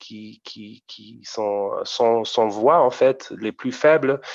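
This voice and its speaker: Speaking at a very slow pace, a man with a German accent uses a medium pitch over a quiet background. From Germany, Frankfurt region. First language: German (speaking French). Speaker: amateur rapper. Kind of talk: interview. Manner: halting, many repetitions.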